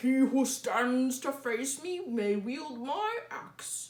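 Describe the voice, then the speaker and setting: Using a put-on character voice, a woman speaks very slowly in a high pitch. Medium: read story. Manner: loud, theatrical.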